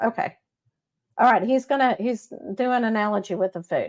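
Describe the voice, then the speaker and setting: A woman in a Texas accent, fairly high in pitch, animated in tone, with ordinary pitch variation, on a very clean recording against a silent background. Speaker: psychic medium show host. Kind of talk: live psychic reading stream. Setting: live stream on Facebook and YouTube. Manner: animated, chatty.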